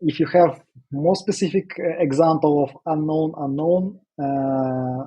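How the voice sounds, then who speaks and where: A man with a dark, mellow tone, somewhat breathy, at a fairly slow pace with fairly even intonation. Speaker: project management trainer. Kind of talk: live Q&A session. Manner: hesitant, many fillers.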